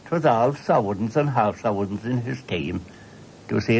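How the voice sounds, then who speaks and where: At a moderate pace, a man speaks in a rural Cork accent. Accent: rural Cork Irish. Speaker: storyteller. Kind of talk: oral history storytelling. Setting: radio broadcast.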